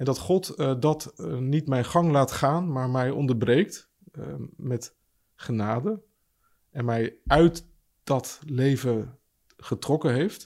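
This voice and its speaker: Speaking at a very slow pace, a man with a medium pitch and a dark, mellow tone uses lively intonation. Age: 40s. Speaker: pastor. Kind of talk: casual chat. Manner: halting.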